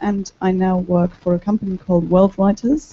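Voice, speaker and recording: Somewhat breathy and dark, mellow in tone, a woman with a German accent talks at a fairly slow pace. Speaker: translator. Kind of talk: panel discussion.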